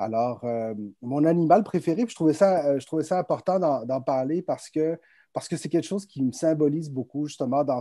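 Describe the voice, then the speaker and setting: A dark, mellow voice speaks at a moderate pace with lively intonation. The sound is dry and close with no echo, over a quiet background. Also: man. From France. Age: 30s. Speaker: entrepreneur, public relations firm president. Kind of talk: virtual conference interview. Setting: video call.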